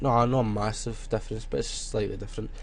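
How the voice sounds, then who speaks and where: A man speaks with a Scottish accent. Audible room echo surrounds his voice. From Scotland. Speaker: graphic design tutorial youtuber. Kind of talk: tutorial. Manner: casual, filler-heavy.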